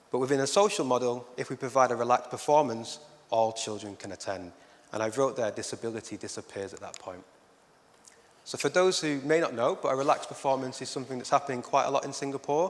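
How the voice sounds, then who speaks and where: A man with a Lancashire accent at a medium pitch and a very fast pace. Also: ordinary pitch variation. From northern England, Oldham, Lancashire. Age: 30s. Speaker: arts educator. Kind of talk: conference talk.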